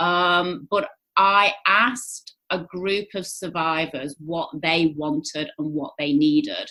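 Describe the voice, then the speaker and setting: A woman with an English accent speaks at a very slow pace, her fairly low voice moving with ordinary pitch variation. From England. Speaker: charity founder. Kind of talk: interview conversation. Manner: hesitant fillers.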